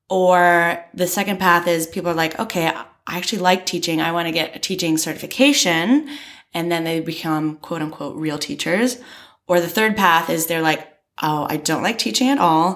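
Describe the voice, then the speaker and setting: A woman speaks at a moderate pace with an American accent, her pitch fairly low and its variation ordinary. Music plays in the background. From US, rural Maryland. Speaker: entrepreneur. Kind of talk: casual chat.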